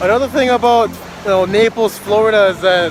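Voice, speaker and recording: A man with a Minnesotan accent and ordinary pitch variation, over noticeable background noise. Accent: Minnesota. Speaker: travel vlogger. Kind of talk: casual vlog narration. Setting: outdoors on a beach.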